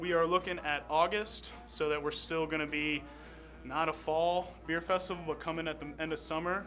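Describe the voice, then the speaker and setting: With music in the background, a man speaks in a fairly high, flat, monotone voice. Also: moderate pace. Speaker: beer festival organizer and fundraiser host. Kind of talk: live stream event host talk to camera.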